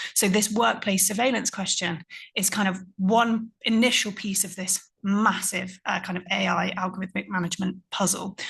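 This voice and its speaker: A woman's pitch sits in the medium range, and her delivery moves at a moderate pace. It is a plain, everyday voice with fairly even intonation. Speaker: conference panelist. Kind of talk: panel talk.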